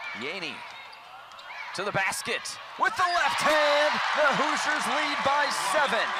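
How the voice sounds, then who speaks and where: At a fairly slow pace, a man with an extremely high pitch and very wide pitch swings leaves long, frequent pauses against noticeable background noise. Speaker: sports play-by-play announcer. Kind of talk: basketball play-by-play with analyst.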